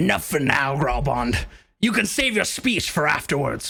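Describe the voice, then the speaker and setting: A raspy, put-on character voice from a man, fairly high-pitched, at a moderate pace. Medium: actual play. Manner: theatrical, grandiose.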